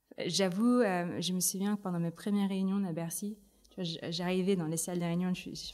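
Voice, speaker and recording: A woman speaks at a very fast pace with a fairly low pitch. Her tone is dark and mellow, her intonation monotone and flat. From Philippines, Manila. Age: 30s. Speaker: tech ecosystem director. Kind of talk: interview. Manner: hesitant, many fillers.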